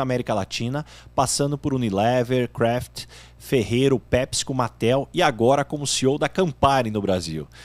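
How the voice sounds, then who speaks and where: In an unremarkable speaking voice, a man talks at medium pitch with a fairly quick pace and lively intonation. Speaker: podcast host. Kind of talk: show introduction.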